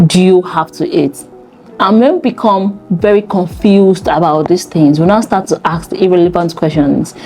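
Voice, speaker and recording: A woman talks at a moderate pace in a medium pitch, her loudness very even. Music plays in the background. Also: ordinary pitch variation. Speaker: fitness coach. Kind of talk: talking-head advice video.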